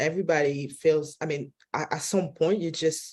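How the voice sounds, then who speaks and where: A woman speaks at a very deep, low pitch with ordinary pitch variation and a dark, mellow tone. She has a non-native accent and keeps a moderate pace. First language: not English. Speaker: film director. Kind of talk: press junket interview. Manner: halting, many restarts.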